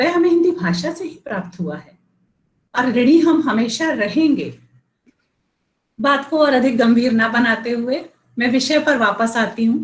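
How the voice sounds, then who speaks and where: Speaking with long, frequent pauses, a woman uses a high pitch, lively intonation and big swings in loudness. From India. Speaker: school principal. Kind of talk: speech at school event.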